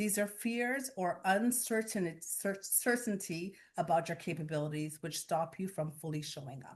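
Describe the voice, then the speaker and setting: In a quiet background, a woman speaks at a moderate pace with lively intonation. Her voice is somewhat breathy and fairly low-pitched. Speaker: guest speaker, workshop facilitator. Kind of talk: interactive workshop presentation.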